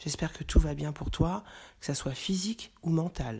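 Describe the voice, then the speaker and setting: On a very clean recording with a silent background, a woman talks in a calm tone with vocal fry and lively intonation. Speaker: podcast host. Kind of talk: motivational talk.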